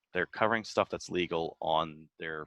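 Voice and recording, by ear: Low male voice with a fairly bright tone, ordinary pitch variation and a moderate pace, dry and close with no echo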